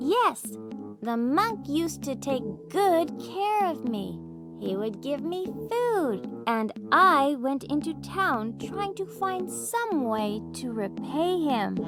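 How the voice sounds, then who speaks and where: Over clear background music, a female-sounding, put-on character voice talks at a very slow pace. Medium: read story. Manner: earnest, gentle.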